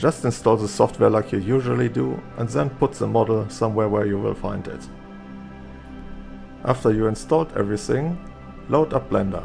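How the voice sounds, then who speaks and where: A man's fairly low voice with a non-native accent, at a moderate pace with very wide pitch swings and long, frequent pauses, over music in the background. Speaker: 3D artist, tutorial maker. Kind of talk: software tutorial narration.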